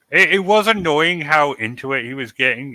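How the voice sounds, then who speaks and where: A man with an English accent speaks at a moderate pace. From England. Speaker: podcast host. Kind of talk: casual chat.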